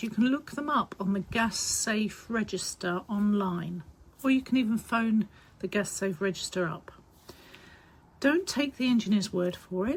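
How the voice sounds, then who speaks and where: A woman speaks at a moderate pace with a fairly high pitch and ordinary pitch variation. Her voice is somewhat breathy. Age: 60s. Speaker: heating business co-owner. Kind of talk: informal advice talk to camera. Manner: casual, chatty.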